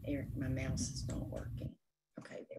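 An American accent comes through in this woman's speech. Nothing much can be heard behind her. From North Carolina. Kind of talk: workshop presentation. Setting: office, recorded webinar.

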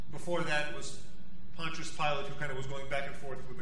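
A man talks with audible room echo and light background noise. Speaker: priest. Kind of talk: sermon. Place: church. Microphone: podium.

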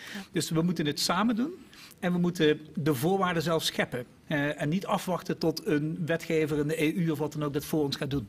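A man speaks at a moderate pace, his pitch rising and falling in an ordinary way. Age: 50s. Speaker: innovation executive; guest. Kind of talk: panel discussion. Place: studio. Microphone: podium.

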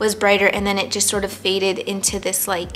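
The voice belongs to a woman. Her pace is moderate. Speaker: plant YouTuber. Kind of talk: casual talk to camera. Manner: somewhat monotonous. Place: home room.

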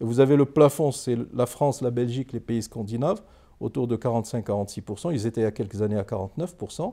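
A man's dark, mellow voice at a moderate pace with ordinary pitch variation. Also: quiet background. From Morocco. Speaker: economist and politician; politician. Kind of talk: interview. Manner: formal. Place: studio.

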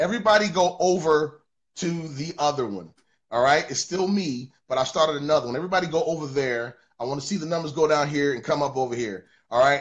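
Over a quiet background, a man talks at a very fast pace with a fairly high, somewhat breathy voice and lively intonation. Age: 40s. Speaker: livestream interview host, worship leader; interviewer. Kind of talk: casual livestream chat. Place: studio. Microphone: broadband issues; phone near.

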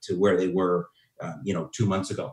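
The recording has audible room echo over a quiet background. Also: man. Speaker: marketing speaker. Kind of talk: webinar presentation. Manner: fast-talking, energetic. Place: home room. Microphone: webcam.

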